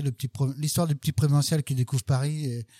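In a very clean recording with a silent background and a dry, close sound with no echo, a man talks fairly slowly at medium pitch with fairly even intonation and a dark, mellow tone. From western France, Sarthe. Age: 50s. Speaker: barista and coffee trainer. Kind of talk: casual interview. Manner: hesitant, repeats words.

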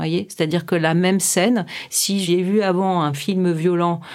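A very slow pace with fairly even intonation. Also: woman. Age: 50s. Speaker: clinical psychologist. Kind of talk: interview.

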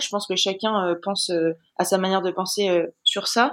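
Against a silent background on a very clean recording, a woman speaks with monotone, flat intonation. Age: 20s. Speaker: Olympic sailor. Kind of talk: interview.

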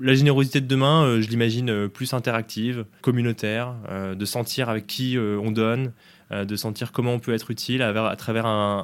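A man talks at a moderate pace in a medium pitch with a monotone, flat delivery. The recording is very clean, with a silent background. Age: 20s. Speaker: startup co-founder and CEO. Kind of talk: interview. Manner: halting, many repetitions and fillers.

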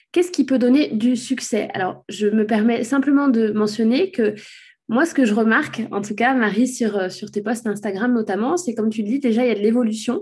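A woman talks at a fairly high pitch with ordinary pitch variation. Her voice is somewhat breathy. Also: moderate pace. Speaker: podcast host, SEO consultant. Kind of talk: interview. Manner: stammering at times.

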